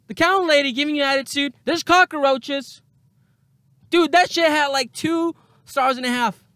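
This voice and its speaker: A man with an extremely high voice projects loudly at a moderate pace, sounding animated, bright and sharp, with ordinary pitch variation, in a dry, close recording with no echo. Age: 30s. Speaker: podcast host. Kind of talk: casual monologue.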